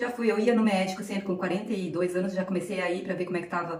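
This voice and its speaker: A woman speaks at a medium pitch, with audible room echo and noticeable background noise. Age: 50s. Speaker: nutritionist. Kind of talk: live stream talk. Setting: live stream. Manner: halting.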